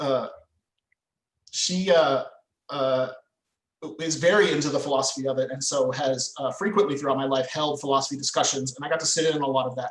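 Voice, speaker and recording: A man's fairly high, somewhat breathy voice, fairly quick yet with long, frequent pauses and fairly even intonation. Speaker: medieval reenactment fighter and poet. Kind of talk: podcast interview conversation. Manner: halting, many fillers.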